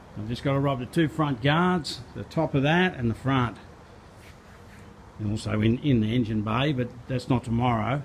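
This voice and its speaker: A man of medium pitch talks at a moderate pace with ordinary pitch variation, sounding somewhat breathy and leaving long, frequent pauses. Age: 60s. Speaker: car restorer and spray painter. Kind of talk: casual workshop vlog narration. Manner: casual, halting with repeats.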